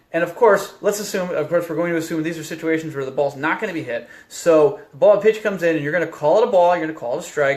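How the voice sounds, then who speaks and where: Over noticeable background noise, a man talks at a very fast pace with hardly any pauses, a high pitch and ordinary pitch variation. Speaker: baseball umpire instructor. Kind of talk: tutorial. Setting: Facebook live video. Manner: casual.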